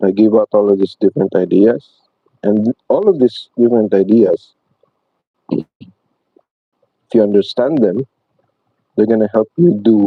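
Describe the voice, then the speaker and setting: With a non-native accent, a man speaks at a moderate pace and fairly low pitch, with ordinary pitch variation, very even loudness and long, frequent pauses. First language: not English. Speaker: painting instructor. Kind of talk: tutorial. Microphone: poor mic, hoping for a better one.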